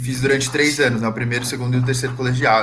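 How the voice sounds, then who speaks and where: There is audible room echo around the man's voice. Behind him, music can be heard. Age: 20s. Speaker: musician. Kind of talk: casual chat. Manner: casual slangy.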